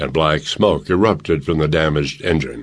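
With vocal fry and a very deep, low voice, a man speaks in a dramatic tone. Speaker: audiobook narrator. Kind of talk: audiobook narration, scripted war fiction read aloud. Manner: steady, dramatic, urgent pacing in the action scenes.

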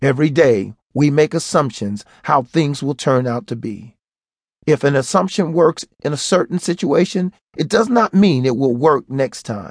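Recorded dry and close with no echo, a man speaks at a fairly high pitch and a fairly slow pace with lively intonation. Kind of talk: audiobook narration in a motivational pep-talk style. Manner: earnest, emphatic, preachy and direct, with a motivational push.

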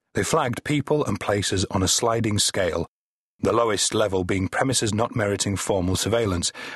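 Over a quiet background there is an unforced reading voice.

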